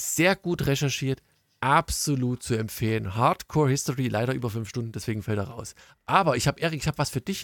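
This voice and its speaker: A man with an East German accent talks at a moderate pace, his medium pitch carried by lively intonation. The recording is very clean, dry and close, with a silent background and no echo. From East Germany. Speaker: podcast host. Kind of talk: casual chat.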